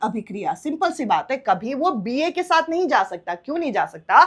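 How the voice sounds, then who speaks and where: A woman speaks at a high pitch with very wide pitch swings, in a very clean recording with a silent background. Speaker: online exam-prep teacher. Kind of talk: lecture. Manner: bilingual Hindi-English explanation.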